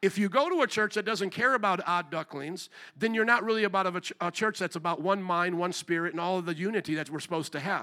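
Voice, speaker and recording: In a very clean recording with a silent background, a man with a high pitch and a bright, sharp tone talks in a raised, projected voice at a very fast pace, with hardly any pauses and ordinary pitch variation. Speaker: pastor. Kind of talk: sermon. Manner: loud; repetitive.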